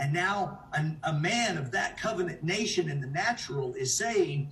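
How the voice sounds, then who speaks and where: A man with a high pitch and an animated tone speaks with lively intonation, and the room echo is audible. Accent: American. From United States. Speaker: preacher. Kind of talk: sermon. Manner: halting.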